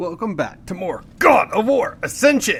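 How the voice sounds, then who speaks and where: Someone puts on a gruff, high-pitched character voice and speaks at a moderate pace. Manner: tough, gruff.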